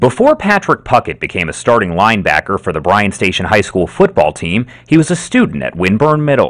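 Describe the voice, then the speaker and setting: A man speaks at a fairly quick pace. His pitch swings very widely. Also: medium pitch for a man, hardly any pauses. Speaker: TV news reporter. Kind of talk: TV news reporter delivery. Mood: somber, measured.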